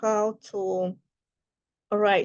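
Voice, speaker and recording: A woman speaks with a Russian accent at a fairly high pitch. Her intonation is monotone and flat. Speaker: writer and life coach. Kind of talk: casual talk to camera. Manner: halting, many fillers.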